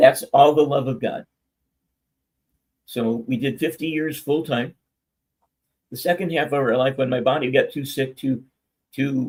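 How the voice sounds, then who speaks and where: A man with a fairly high pitch speaks in a somewhat breathy voice with fairly even intonation. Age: 70s. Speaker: minister. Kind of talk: testimony. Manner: stammering.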